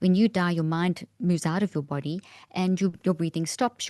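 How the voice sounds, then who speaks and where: In a South African accent, a woman speaks with a fairly low pitch and a dark, mellow tone. Her intonation is fairly even, and the sound is dry and close with no echo against a quiet background. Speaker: neuroscientist. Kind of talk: interview explanation.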